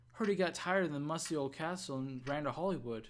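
A gruff, put-on character voice moves along at a moderate pace. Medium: game stream. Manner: gruff, blunt.

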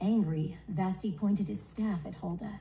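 Plain reading aloud carries ordinary pitch variation throughout.

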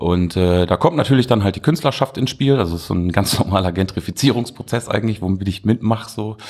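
Talking at a very fast pace with hardly any pauses, a man uses a fairly low pitch and lively intonation. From Duisburg, Ruhr area, Germany. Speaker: artist and art festival organizer. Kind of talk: casual interview.

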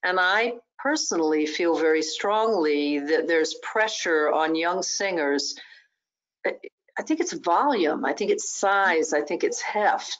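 A woman speaks at a very slow pace with lively intonation. Her loudness stays very even over a quiet background. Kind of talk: interview conversation. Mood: earnest, thoughtful. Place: home room. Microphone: video call.

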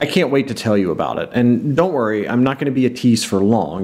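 A man talks at a fairly quick pace in a medium-pitched voice. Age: 40s. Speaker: board game vlogger. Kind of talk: casual vlog monologue. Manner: put-on, theatrical delivery. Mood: playful, teasing announcement. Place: home room.

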